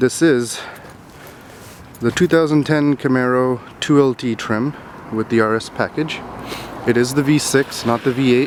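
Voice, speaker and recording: Over noticeable background noise, a man with a medium-pitched voice and fairly even intonation talks at a moderate pace, with long, frequent pauses. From Sri Lankan Tamil. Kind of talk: casual car review to camera.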